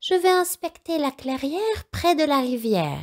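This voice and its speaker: In a put-on character voice, a woman speaks at a fairly slow pace with a high pitch. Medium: read story.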